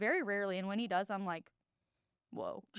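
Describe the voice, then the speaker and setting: On a very clean recording with a silent background, a woman with a Midwestern American accent talks at medium pitch with ordinary pitch variation. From Illinois. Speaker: university staff member. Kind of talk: casual chat. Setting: studio. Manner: loud.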